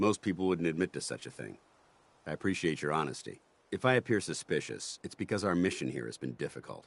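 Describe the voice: A man rattles along at a fast pace in a put-on character voice, his extremely low pitch full of vocal fry and big pitch swings.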